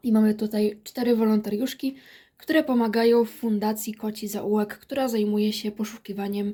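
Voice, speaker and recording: This woman's voice is fairly high in pitch, somewhat breathy and dark and mellow in tone, with fairly even intonation at a moderate pace. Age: 20s. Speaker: book reviewer. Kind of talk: book review vlog.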